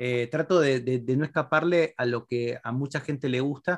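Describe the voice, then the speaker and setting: Using a plain, everyday voice, a man talks at a fairly quick pace and a fairly high pitch with ordinary pitch variation. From Argentina. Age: 40s. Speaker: philosopher and writer. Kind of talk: interview.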